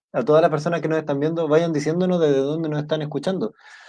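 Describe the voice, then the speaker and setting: In a Chilean accent, a man with a fairly high pitch speaks in a dark, mellow tone. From south-central Chile. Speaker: podcast host. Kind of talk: live interview.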